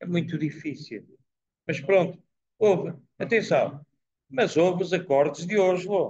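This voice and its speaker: A man with a high voice talks at a fairly slow pace, with ordinary pitch variation and long, frequent pauses. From Portugal. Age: 80s. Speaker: professor giving a talk. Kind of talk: talk and Q&A at a dinner. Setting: dinner event with live audience.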